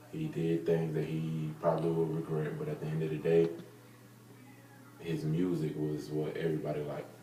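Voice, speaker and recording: A man's very deep, low voice in a monotone, flat intonation, with an American accent, at a moderate pace, audible room echo and music in the background. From US South, Marietta, Georgia. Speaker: interviewee. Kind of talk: interview.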